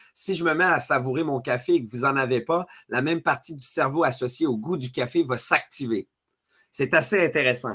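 Speaking in a Quebec accent at a moderate pace, a man with a fairly high pitch sounds energetic, his tone bright and sharp and his pitch variation ordinary, over a quiet background. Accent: Québécois French. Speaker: leadership speaker and author; speaker. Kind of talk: webinar masterclass. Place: home room.

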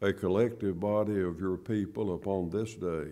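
A man speaks in a very deep, low pitch with a dark, mellow tone. His intonation stays fairly even. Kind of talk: public prayer. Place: church. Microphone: podium.

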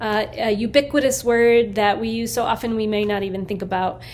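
Moderate pace from a woman. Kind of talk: artist talk about own work. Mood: thoughtful, calm. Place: workshop. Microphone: phone near.

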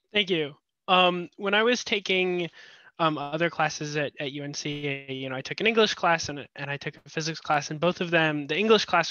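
Against a quiet background with a dry sound and no echo, a man talks at a fairly quick pace with a fairly high pitch and ordinary pitch variation. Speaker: audience member. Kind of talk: casual chat. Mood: polite, thoughtful. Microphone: headset.

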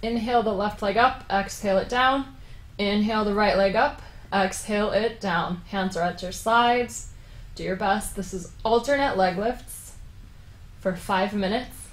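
A woman at a moderate pace with fairly even intonation and audible room echo. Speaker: yoga teacher. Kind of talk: guided yoga instruction. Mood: calm, encouraging. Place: home room.

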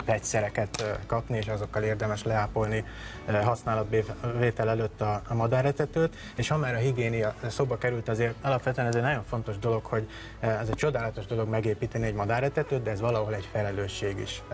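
A man talks at a fairly quick pace with fairly even intonation while clear music plays in the background. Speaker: guest. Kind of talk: interview answer. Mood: calm, explanatory. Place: studio. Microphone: lapel.

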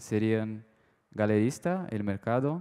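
A man speaks in a dark, mellow tone. He talks very slowly against a quiet background. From Brazil. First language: Portuguese (speaking Spanish). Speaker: art dealer, audience member; audience member. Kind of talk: audience question at a panel talk. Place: hall. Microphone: handheld.

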